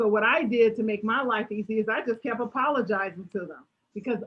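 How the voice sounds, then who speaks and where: A woman talks at a fairly quick pace in a fairly high pitch. Her tone is animated. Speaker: motivational speaker. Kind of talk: Q&A at online talk. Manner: animated, varies volume.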